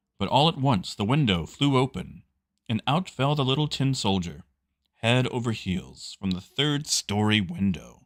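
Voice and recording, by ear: With lively intonation, someone is reading aloud in a natural voice while the background stays quiet.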